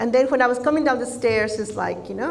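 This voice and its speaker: Audible room echo mixes with noticeable background noise throughout. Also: woman. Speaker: speaker/coach. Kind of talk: conference talk. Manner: warm, light-hearted.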